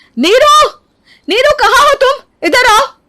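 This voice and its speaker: A woman shouts in a put-on character voice at an extremely high pitch. Her intonation is lively. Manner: angry, shouting.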